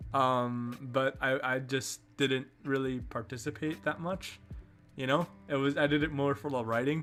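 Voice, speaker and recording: A man talks fairly slowly at a medium pitch. Music plays in the background. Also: fairly even intonation. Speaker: streamer. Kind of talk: casual chat. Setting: live stream. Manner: halting.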